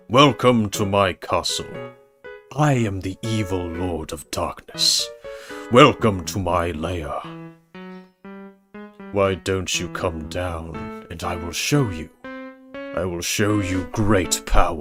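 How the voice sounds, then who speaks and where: Faint music plays in the background. The put-on character voice moves at a very slow pace. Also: man, very deep, low pitch for a man. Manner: menacing, theatrical.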